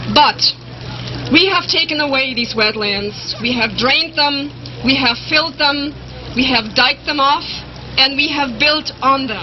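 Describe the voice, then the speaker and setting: Noticeable background noise sits behind a speaker with a German accent who moves at a fairly slow pace, with long, frequent pauses and ordinary pitch variation. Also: woman, high pitch for a woman. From Germany. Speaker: animal rights advocate. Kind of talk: rally speech.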